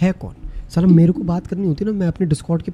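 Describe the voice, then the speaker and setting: A man's high-pitched voice over music in the background. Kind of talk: casual chat.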